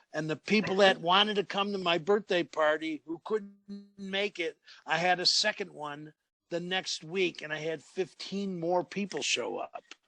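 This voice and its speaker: Music plays in the background as a man speaks at a moderate pace with a high pitch. The sound is dry and close with no echo, and his intonation is fairly even. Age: 70s. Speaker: martial arts and qigong teacher. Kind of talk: interview.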